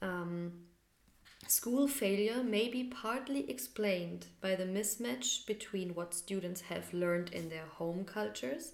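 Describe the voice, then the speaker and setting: A woman with a normal speaking voice talks at a fairly low pitch, her intonation lively. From Bavaria, Germany (Munich, then Hof). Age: 30s. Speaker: podcast co-host. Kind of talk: casual chat.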